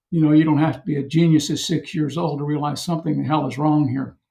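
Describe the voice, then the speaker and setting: A man's fairly high, somewhat breathy voice with fairly even intonation. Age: 70s. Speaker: retired journalist and author. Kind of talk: interview.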